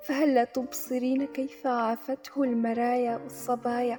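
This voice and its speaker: With music in the background, a woman speaks very slowly in a high voice with fairly even intonation. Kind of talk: poetry reading.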